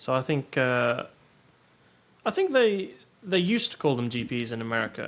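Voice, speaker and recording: A man with a British accent speaks with long, frequent pauses. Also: moderate pace. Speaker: podcast co-host. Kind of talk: casual chat.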